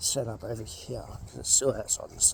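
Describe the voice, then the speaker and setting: A man is heard over noticeable background noise. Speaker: car mechanic vlogger. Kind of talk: tutorial. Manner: soft-spoken; halting.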